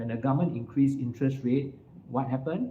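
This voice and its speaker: Somewhat breathy with a dark, mellow tone, a man's fairly high voice shows ordinary pitch variation. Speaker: financial firm CEO. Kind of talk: talk to live audience.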